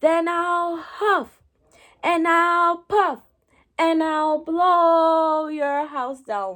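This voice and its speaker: In a very clean recording with a silent background, a put-on character voice speaks at a very slow pace. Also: woman, extremely high pitch for a woman. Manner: roaring, threatening.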